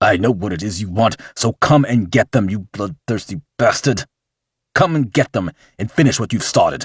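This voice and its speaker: In a put-on character voice, a man bellows and growls with lively intonation at a moderate pace. His pitch is medium, and the sound is dry and close with no echo. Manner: roaring, furious.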